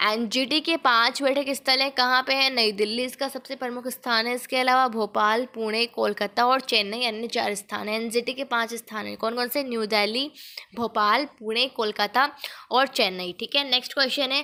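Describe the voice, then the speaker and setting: Bright and sharp in tone, a woman's voice sits high in pitch. She speaks with hardly any pauses. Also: fairly even intonation. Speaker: online exam-prep teacher. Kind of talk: tutorial.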